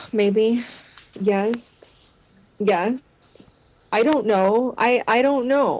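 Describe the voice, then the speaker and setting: A woman speaks very slowly in a fairly high pitch, and noticeable background noise accompanies her. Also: ordinary pitch variation, very even loudness. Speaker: guest, friend of the show. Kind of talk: casual chat. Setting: video call. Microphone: poor internet connection, cuts in and out.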